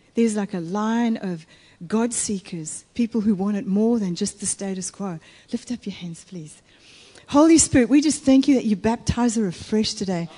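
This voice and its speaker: At a moderate pace, a woman speaks in a fairly high, somewhat breathy voice with a dark, mellow tone, ordinary pitch variation and big swings in loudness. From Italy. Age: 50s. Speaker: guest preacher. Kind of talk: sermon.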